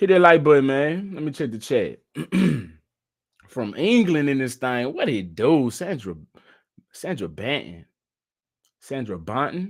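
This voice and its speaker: A man with an American accent, fairly high in pitch and animated, fairly slow with long, frequent pauses and very wide pitch swings. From Texas. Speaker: live-stream news commentator. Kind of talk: live stream commentary. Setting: home studio live stream. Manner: casual, animated.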